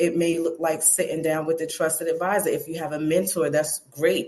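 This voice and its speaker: Flat and monotone, a woman with an American accent speaks at a fairly low pitch. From US Northeast, Brooklyn. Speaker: personal development coach. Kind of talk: interview.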